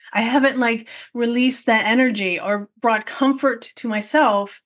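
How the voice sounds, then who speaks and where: Against a quiet background, a woman with a plain, everyday voice speaks at a fairly high pitch with ordinary pitch variation. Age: 40s. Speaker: podcast host and photography business coach. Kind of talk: solo podcast monologue.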